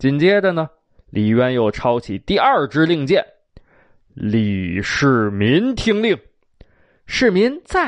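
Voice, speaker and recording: Speaking very slowly with long, frequent pauses, a man with a Beijing accent uses a fairly high pitch and very wide pitch swings over a quiet background. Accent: Beijing Mandarin. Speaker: storyteller. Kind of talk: traditional storytelling. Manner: animated; unhurried.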